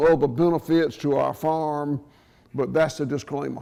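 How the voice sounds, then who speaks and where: Against a quiet background, a man with a strong Southern US accent talks at a moderate pace in a fairly high pitch, his intonation fairly even. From US South, southwest Georgia. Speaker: farmer. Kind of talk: conference talk. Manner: loud.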